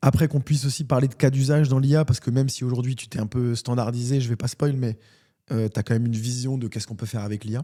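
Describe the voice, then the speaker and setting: A man at a medium pitch and very fast pace, dark and mellow in tone, with fairly even intonation. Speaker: podcast host. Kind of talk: casual interview.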